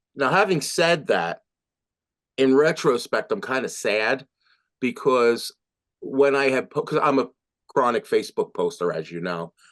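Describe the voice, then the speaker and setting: In a quiet background with a dry, close sound and no echo, a man with an American accent talks at a fairly slow pace and fairly high pitch, using vocal fry and very wide pitch swings. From New Jersey / Philadelphia area. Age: 60s. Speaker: musician. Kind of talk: interview testimony. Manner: hesitant, many fillers; animated.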